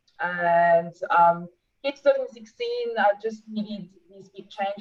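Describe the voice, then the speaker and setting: A strong French accent with fairly even intonation. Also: woman. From France. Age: 40s. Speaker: sports nutritionist and athlete. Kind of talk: interview. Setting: video call.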